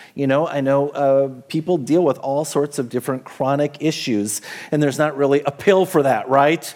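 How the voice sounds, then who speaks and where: Pitched fairly high, this man has an unremarkable speaking voice. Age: 50s. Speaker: pastor. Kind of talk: sermon. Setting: church.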